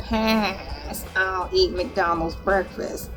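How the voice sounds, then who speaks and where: Clear music plays in the background. A female-sounding voice performs a put-on character voice. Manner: unimpressed, droning.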